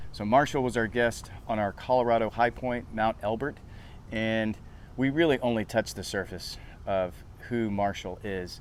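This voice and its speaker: A man talks at a moderate pace with a medium pitch and ordinary pitch variation. It is an unremarkable speaking voice. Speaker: TV show host. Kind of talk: show intro to camera.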